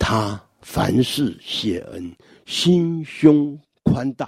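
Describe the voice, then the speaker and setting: Very wide pitch swings run through a man's speech. His tone is dark and mellow. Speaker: church elder giving a devotional talk. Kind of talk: scripted devotional talk.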